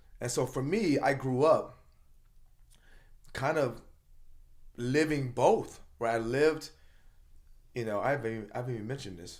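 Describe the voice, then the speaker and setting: A man with a medium pitch talks in a passionate tone at a moderate pace with ordinary pitch variation. Audible room echo surrounds his voice. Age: 50s. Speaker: motivational speaker and coach. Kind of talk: casual chat. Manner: passionate, loud.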